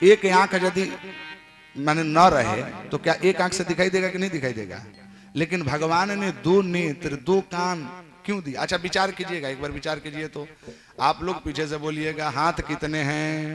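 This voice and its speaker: The tone is animated, with ordinary pitch variation. Noticeable background noise runs underneath. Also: man, fairly high pitch for a man. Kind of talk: devotional religious discourse to a live audience. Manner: animated, rhetorical questioning, interacts with audience.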